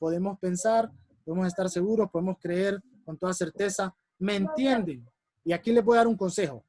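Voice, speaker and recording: High for a man, his pitch varies in an ordinary way, with a dry, close sound and no echo. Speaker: public speaking workshop instructor. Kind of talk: workshop lecture. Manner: fast.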